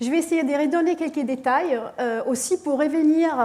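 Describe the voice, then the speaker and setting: Heard with audible room echo, a woman speaks with a non-native accent. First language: not French (speaking French). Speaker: physics professor. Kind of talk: lecture. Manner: halting, many hesitations.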